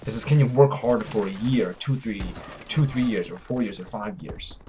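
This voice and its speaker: A man at a medium pitch and fairly quick pace, with noticeable background noise. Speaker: vlogger, fitness and martial arts creator. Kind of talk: motivational vlog talk. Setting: cold house with no heat. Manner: fast.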